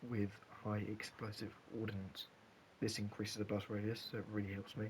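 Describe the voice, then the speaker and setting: A man talks at a fairly quick pace in a fairly low pitch. His voice is somewhat breathy. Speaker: gaming content creator. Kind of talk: gameplay tutorial. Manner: halting, some stutters; animated.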